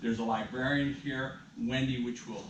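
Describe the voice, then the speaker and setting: There is noticeable background noise and audible room echo. A man talks at a moderate pace and medium pitch. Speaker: event presenter, son of the featured local historian. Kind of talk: talk to a live audience. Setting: library room with live audience. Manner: loud.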